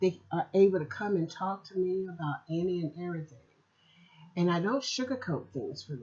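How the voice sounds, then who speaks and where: A woman with an ordinary speaking voice talks at a moderate pace and a fairly low pitch, with ordinary pitch variation. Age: 60s. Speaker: podcast host and author. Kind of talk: personal reflection podcast.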